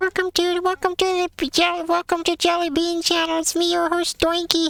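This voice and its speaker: A woman uses a put-on character voice at an extremely high pitch, with monotone, flat intonation and very even loudness. She speaks at a moderate pace, and the sound is dry and close with no echo. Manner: cheerful, funny.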